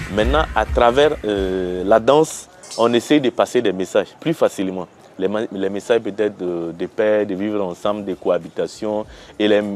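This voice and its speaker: Over music in the background, a man with a fairly low pitch talks at a moderate pace with ordinary pitch variation. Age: 30s. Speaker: lawyer and dance company director. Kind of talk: interview testimony. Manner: halting, many hesitations.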